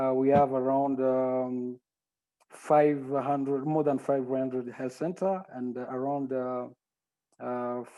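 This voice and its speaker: A man's medium-pitched voice at a very slow pace, in a monotone with flat intonation. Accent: French. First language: French. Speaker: health monitoring and evaluation director. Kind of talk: panel self-introduction. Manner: halting, many fillers.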